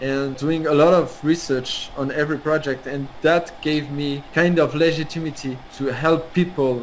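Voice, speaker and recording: Against noticeable background noise, a man with a French accent speaks with fairly even intonation. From France. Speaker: NFT platform founder. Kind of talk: interview. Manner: halting, many hesitations.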